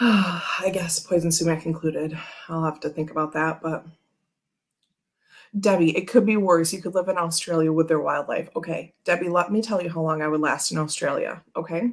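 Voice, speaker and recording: In a plain, everyday voice, a woman talks at a moderate pace with fairly low pitch and fairly even intonation. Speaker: tarot reader livestream host. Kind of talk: casual livestream chat. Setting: livestream from home. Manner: filler-heavy, chatty.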